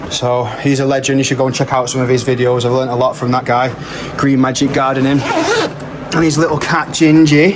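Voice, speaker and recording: A man with an English accent talks at a fairly quick pace, his loudness very even and his intonation flat and monotone. Noticeable background noise and audible room echo fill the recording. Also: medium pitch for a man. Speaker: home grower vlogger. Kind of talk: casual vlog. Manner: halting.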